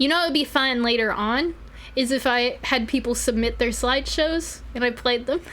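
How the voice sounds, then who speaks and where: A woman with an American accent and a high pitch speaks at a moderate pace, her loudness very even and her pitch variation ordinary, against noticeable background noise. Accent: southern US, varies in strength. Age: 20s. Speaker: vtuber streamer. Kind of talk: casual live stream chat. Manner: animated.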